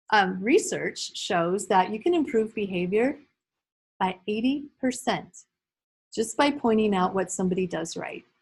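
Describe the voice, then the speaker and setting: A woman's somewhat breathy voice at medium pitch, with lively intonation, a fairly slow pace and a quiet background. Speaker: early childhood behavior trainer. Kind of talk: training workshop lecture. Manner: animated.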